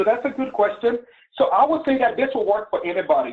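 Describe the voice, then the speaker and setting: The speaker has a Liberian accent. The pace is fairly quick. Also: man. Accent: Liberian accent, noticeable. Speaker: webinar presenter, business mentor. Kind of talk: webinar presentation. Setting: online webinar.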